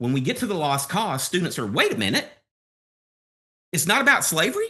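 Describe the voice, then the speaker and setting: Against a quiet background, a man with a Southern US accent speaks in a bright, sharp tone. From US South, Alabama. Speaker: history professor. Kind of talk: podcast interview.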